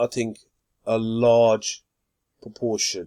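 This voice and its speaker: The sound is dry and close, with no echo. A man speaks at medium pitch. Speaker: crypto YouTuber. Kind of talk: unscripted tutorial monologue. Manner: halting, with stutters and fillers; sometimes trails off quietly.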